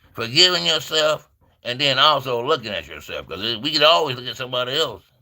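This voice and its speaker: A man talks at a fairly quick pace. His tone is bright and sharp, with vocal fry. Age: 60s. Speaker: livestream preacher. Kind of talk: informal livestream sermon. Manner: fast; conversational, repetitive.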